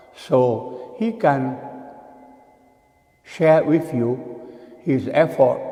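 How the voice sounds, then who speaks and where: A man with a fairly high pitch speaks very slowly, his intonation lively. The room has audible echo and noticeable background noise. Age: 80s+. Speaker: Buddhist monk. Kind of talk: dharma talk.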